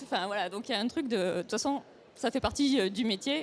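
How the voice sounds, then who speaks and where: Here a woman uses an unremarkable speaking voice with ordinary pitch variation. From France, Toulouse region. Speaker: comics author and illustrator. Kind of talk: panel discussion.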